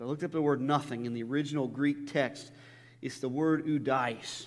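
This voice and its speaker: Audible room echo surrounds the recording. A man talks at a fairly quick pace in a fairly high pitch. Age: 30s. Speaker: pastor. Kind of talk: sermon. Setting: church. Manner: halting.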